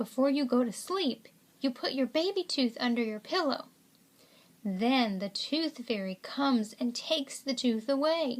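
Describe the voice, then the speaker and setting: A woman speaks in a put-on character voice. Her pitch is high, and her pace is moderate. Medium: read story.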